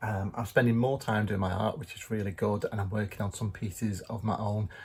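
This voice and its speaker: Speaking at a very fast pace, a man with a fairly low pitch sounds somewhat breathy in a very clean recording with a silent background. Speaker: vlogger, artist and magician. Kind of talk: casual vlog chat. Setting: in a car.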